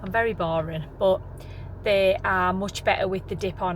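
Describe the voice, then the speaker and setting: Speaking at a moderate pace, a woman is heard through noticeable background noise and audible room echo. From England. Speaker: vlogger. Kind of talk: casual vlog talk to camera. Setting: in a car.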